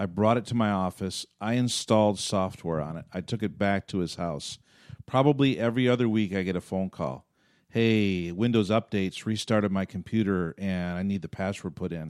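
A man with an ordinary speaking voice talks at a moderate pace, his fairly low pitch moving with ordinary variation, in a very clean, dry, close recording with a silent background and no echo. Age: 50s. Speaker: pastor and podcast host. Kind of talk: casual chat. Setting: studio.

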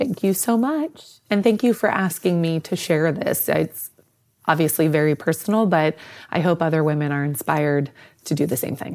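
A woman's fairly low voice, a normal speaking voice with lively intonation at a moderate pace, on a very clean recording with a silent background. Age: 40s. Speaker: sports medicine clinician. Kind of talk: interview about personal experience.

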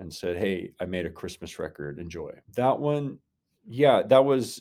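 A man speaks with a dark, mellow tone and lively intonation on a very clean recording with a silent background. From Oklahoma, Tulsa area. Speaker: singer-songwriter. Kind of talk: interview conversation. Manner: halting with fillers.

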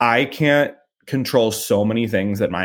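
A man with an American accent, very wide pitch swings and a moderate pace, in a very clean recording with a silent background. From US Midwest, St. Louis, Missouri. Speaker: talent agent. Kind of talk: interview.

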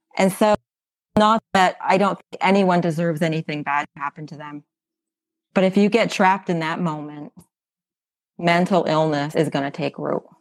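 In a dry, close sound with no echo, a woman with a fairly low pitch speaks at a moderate pace with ordinary pitch variation. She leaves long, frequent pauses, and her loudness swings widely. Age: 50s. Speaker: podcast guest sharing ketamine therapy story. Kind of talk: personal testimony interview.

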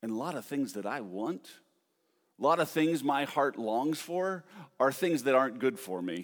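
On a very clean recording with a silent background, a medium-pitched man speaks at a moderate pace in an animated tone, with very wide pitch swings. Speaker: preacher. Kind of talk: sermon. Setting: church. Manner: animated, conversational.

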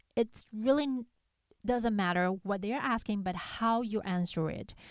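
Talking fairly slowly, a woman speaks with a non-native accent. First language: not English. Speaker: podcast host for conductors. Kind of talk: solo podcast monologue. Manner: hesitant, with fillers.

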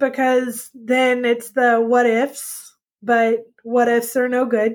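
A woman with a Texan accent speaks in a high pitch. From Texas. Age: 40s. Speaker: podcast guest sharing life story. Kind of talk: testimony.

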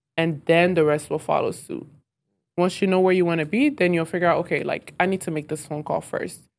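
A woman's fairly low, fairly quick American-accented delivery in a normal speaking voice with ordinary pitch variation. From US South. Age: 20s. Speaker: restaurant owner. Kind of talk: interview.

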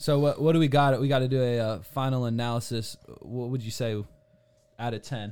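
A plain, everyday voice moves at a fairly quick pace. Its intonation stays fairly even. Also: man, medium pitch for a man. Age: 20s. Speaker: talk show host. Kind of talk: casual chat.

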